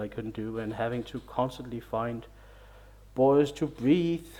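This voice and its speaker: The man's voice sits at medium pitch with a dark, mellow tone, delivered at a moderate pace. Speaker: video game reviewer. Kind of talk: casual game review monologue. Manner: mumbling; halting, hesitant.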